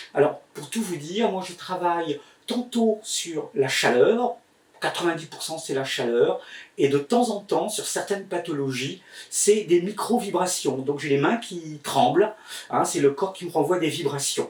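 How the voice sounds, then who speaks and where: A man talks fairly slowly with lively intonation and a high pitch. Noticeable background noise runs under his voice. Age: 60s. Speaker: healer and magnetizer teaching online. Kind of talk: tutorial. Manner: hesitant, many filler words.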